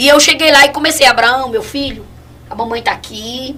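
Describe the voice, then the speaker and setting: A woman speaks over noticeable background noise. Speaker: evangelist giving testimony. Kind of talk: testimony. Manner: fast.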